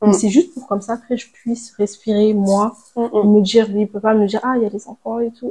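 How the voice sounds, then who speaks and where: A woman speaks at a fairly quick pace with a dark, mellow tone. Her voice is fairly high-pitched and somewhat breathy. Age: 20s. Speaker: stay-at-home mother. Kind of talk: casual interview chat. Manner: halting, many hesitations.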